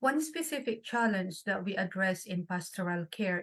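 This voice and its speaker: On a very clean recording with a silent background, a woman speaks at a medium pitch. Her voice is somewhat breathy and her pace is moderate. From Philippines. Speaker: nurse. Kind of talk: panel discussion.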